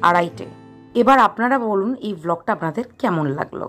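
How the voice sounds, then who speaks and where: A woman speaks with lively intonation while music plays in the background. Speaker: vlogger. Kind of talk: vlog voice-over narration.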